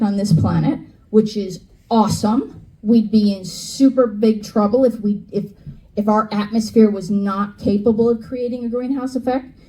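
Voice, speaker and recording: A woman with an American accent speaks at a moderate pace, her fairly high pitch showing ordinary variation, with audible room echo and noticeable background noise. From New York / New Jersey area. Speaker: climate educator. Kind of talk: lecture. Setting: stage with audience. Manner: animated.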